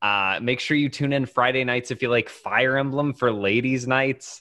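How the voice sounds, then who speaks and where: Here is a man with an unremarkable speaking voice. He talks at a medium pitch and a moderate pace. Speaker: tabletop roleplayer and streamer. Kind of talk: tabletop roleplaying game play.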